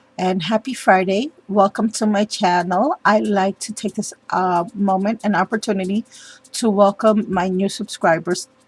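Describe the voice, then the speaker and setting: A woman speaks in a medium pitch. Her voice is somewhat breathy. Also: dry, close sound with no echo. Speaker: papercraft youtuber. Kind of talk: tutorial. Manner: hesitant, many ums.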